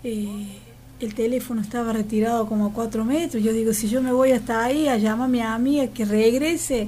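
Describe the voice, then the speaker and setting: A woman speaks at a fairly quick pace with fairly high pitch and fairly even intonation. Her tone is dark and mellow, and audible room echo surrounds it. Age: 50s. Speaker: local resident. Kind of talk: casual interview.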